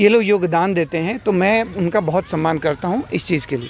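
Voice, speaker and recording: A man speaks at a moderate pace in a high pitch with lively intonation, with noticeable background noise behind him. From Bihar, Gopalganj. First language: Bhojpuri (speaking Hindi). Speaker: film actor. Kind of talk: interview. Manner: halting, many fillers.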